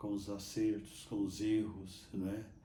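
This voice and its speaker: Audible room echo carries a man's somewhat breathy voice with its dark, mellow tone. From Minas Gerais, Brazil (Botelhos). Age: 80s+. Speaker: Capuchin friar and priest. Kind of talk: interview testimony. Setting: sanctuary church. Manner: halting, with repetitions.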